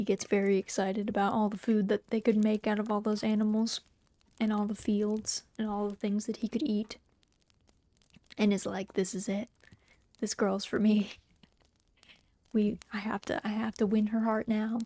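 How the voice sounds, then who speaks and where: A soft-spoken woman's fairly high voice, dark and mellow in tone, flat and monotone, with long, frequent pauses and a dry, close sound free of echo. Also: moderate pace. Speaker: VTuber streamer and storyteller. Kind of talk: casual chatting to live audience. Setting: cozy home stream, typing heard in background.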